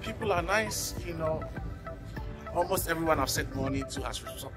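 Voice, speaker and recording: Clear background music under a man's moderately paced speech. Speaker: vlogger. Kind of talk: casual vlog chat. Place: market. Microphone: phone near.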